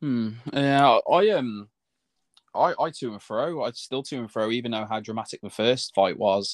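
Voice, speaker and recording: Speaking at a moderate pace with a British accent, a man of medium pitch uses ordinary pitch variation and big swings in loudness over a quiet background. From UK. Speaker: boxing podcast co-host. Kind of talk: casual chat.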